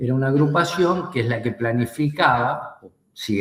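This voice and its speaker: The somewhat breathy voice moves at a moderate pace with lively intonation. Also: man. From Argentina. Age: 60s. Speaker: war veteran. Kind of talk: interview. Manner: hesitant, many fillers.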